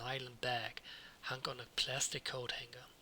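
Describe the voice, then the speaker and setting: This man talks with a non-native accent. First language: not English. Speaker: let's read gamer. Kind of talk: reading game text aloud.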